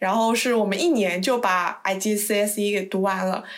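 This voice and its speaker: Slow-ish in pace, a woman speaks at a fairly high pitch with ordinary pitch variation amid audible room echo. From China. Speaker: podcast host. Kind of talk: casual chat.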